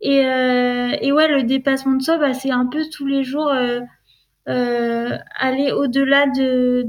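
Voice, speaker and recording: A high-pitched woman's voice at a very slow pace, with fairly even intonation. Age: 30s. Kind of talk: testimony. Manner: halting, many hesitations and repetitions.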